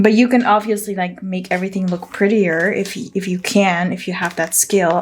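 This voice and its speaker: A woman's medium-pitched voice with an American accent, fairly even intonation and a moderate pace, over noticeable background noise. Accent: somewhat American accent in English. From Netherlands. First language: Dutch. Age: 30s. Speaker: planner vlogger and business owner. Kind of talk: casual plan-with-me tutorial. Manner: chatty, informal with fillers.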